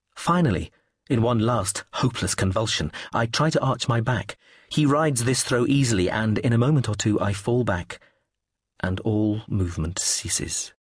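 Against a quiet background, a man delivers a dramatic, sinister tone at a moderate pace, medium in pitch with ordinary variation, somewhat breathy and very even in loudness. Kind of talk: audiobook narration of a novel, first-person and third-person scenes read aloud.

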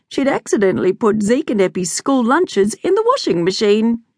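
A woman with an Australian accent speaks with very wide pitch swings. The sound is dry and close with no echo, over a quiet background. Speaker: audiobook narrator. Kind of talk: dramatic narration of a children's story, reading aloud with character voices. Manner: animated; playful, exaggerated, comic.

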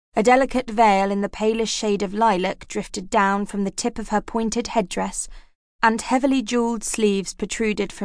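Fairly even intonation throughout some plain reading aloud

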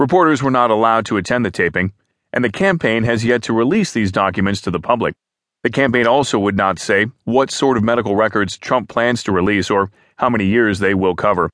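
Using a plain, everyday voice, a man talks at a medium pitch and a fairly quick pace. His pitch varies in an ordinary way, his loudness is very even, and the background is quiet. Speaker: news narrator. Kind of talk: formal news reading of written articles, scripted and neutral. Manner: even, measured, steady newsreader pace with neutral delivery; formal, clear enunciation, reads quotes without acting.

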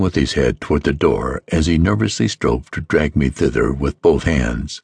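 A man with vocal fry speaks at a moderate pace over a quiet background. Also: dry, close sound with no echo. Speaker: audiobook narrator. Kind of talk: dramatic audiobook narration, first-person gothic horror read aloud. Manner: formal, measured, old-fashioned literary delivery.

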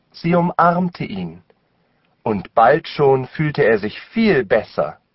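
A man speaks at a very slow pace in a warm, gentle tone that is somewhat breathy. His pitch swings very widely. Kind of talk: children's audiobook reading in German. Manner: slow, clear, warm storyteller pacing with gentle expressiveness; careful enunciation, deliberate for language learners.

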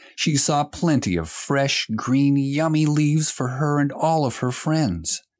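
A man's fairly high-pitched voice at a fairly slow pace, a normal speaking voice. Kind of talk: audiobook narration of a children's story. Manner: gentle, even storyteller pacing, clear and simple for young children.

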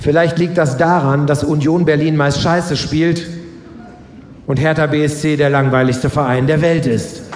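A man with a fairly high pitch uses a playful tone at a fairly slow pace, in a monotone, flat intonation. His loudness stays very even over noticeable background noise. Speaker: author and live reader. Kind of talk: stand-up comedy reading. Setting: stage with audience. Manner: playful storytelling with punchlines.

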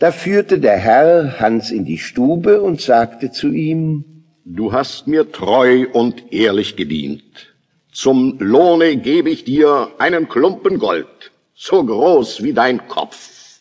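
In a dramatic tone, a man with a fairly high pitch talks at a very slow pace, his pitch swinging very widely. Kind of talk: audiobook dramatization of a fairy tale, narrated. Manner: dramatic, storytelling, vivid, lively.

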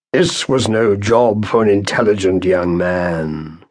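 In a put-on character voice, a man booms with a raspy, fairly low pitch, ordinary pitch variation and a fairly slow pace. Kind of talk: theatrical declamation. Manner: pompous, scolding.

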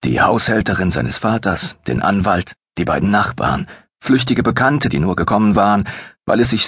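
Background noise is quiet. A natural reading voice is heard.

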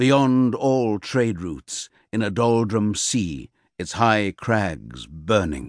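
In a theatrical tone, a man with a fairly low pitch uses lively intonation, with a quiet background and a dry, close sound with no echo. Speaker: audiobook narrator. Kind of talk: dramatic gothic audiobook narration, reading literary prose aloud. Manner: slow, measured and brooding, savouring ornate phrases; theatrical, ominous storytelling tone.

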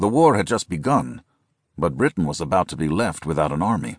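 A man's solemn, dramatic delivery with vocal fry and very wide pitch swings, at a moderate pace, in a dry, close sound with no echo against a quiet background. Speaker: audiobook narrator. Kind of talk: scripted audiobook narration of military history, dramatic. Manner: grave, solemn, dramatic and measured; formal, steady pace building tension.

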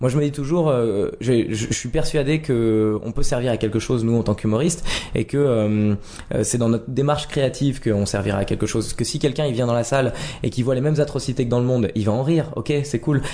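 Noticeable background noise sits behind a man at medium pitch. He talks fairly quickly with ordinary pitch variation. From Lorraine, France (Nancy). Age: 30s. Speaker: comedian. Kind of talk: casual interview. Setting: at home.

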